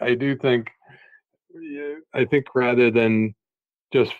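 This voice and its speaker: Medium-pitched man with an American accent at a fairly slow pace. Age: 50s. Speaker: education author and former school superintendent. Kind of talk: podcast interview.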